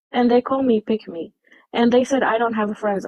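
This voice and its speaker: A speaker with a non-native accent talks at a fairly quick pace. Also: woman. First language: not English. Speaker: livestream debate participant. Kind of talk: heated debate.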